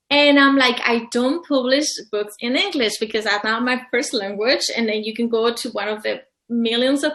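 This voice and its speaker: A woman with a Mexican accent, high pitch, ordinary pitch variation and a moderate pace. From Mexico, Colima. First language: Spanish. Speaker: publisher and author. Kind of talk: interview. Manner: halting.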